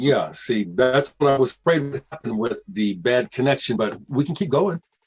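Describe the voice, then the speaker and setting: Dry and close with no echo, a man's fairly high, somewhat breathy voice moves at a moderate pace with lively intonation. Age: 60s. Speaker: bass player, musician. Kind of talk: casual interview.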